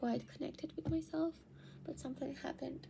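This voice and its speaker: A woman speaks with a Spanish accent. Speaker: actor and vlogger. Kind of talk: personal video diary. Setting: at home. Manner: halting.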